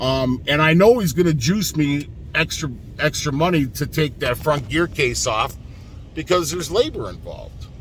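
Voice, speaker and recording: Speaking at a moderate pace, a man uses a fairly high pitch with vocal fry and ordinary pitch variation. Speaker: truck driver. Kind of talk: vlog rant. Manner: animated; halting.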